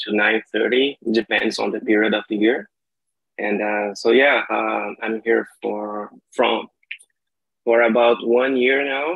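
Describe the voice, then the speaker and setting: A man at a medium pitch, very slow, with fairly even intonation. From Brazil, Maranhão (São Luís). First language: Portuguese. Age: 30s. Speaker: language learner. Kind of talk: casual chat.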